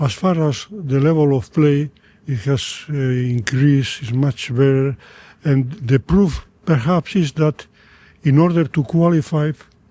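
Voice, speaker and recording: A man's fairly high voice is somewhat breathy, with a dark, mellow tone and ordinary pitch variation. He goes at a fairly slow pace, recorded dry and close with no echo. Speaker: podcast host. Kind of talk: interview conversation.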